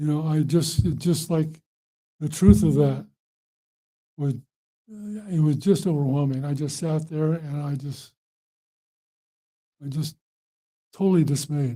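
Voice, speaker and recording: A man's dark, mellow, somewhat breathy voice with an American accent, broken by long, frequent pauses. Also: fairly high pitch for a man, ordinary pitch variation. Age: 70s. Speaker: Buddhist monk and meditation teacher. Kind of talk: dharma talk to an audience.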